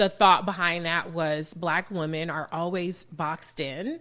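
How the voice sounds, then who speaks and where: With an American accent, a woman speaks in a bright, sharp tone at a moderate pace. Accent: slight Southern-sounding to some listeners. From Southern California, Los Angeles. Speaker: political commentator and radio host. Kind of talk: podcast interview. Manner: animated, conversational.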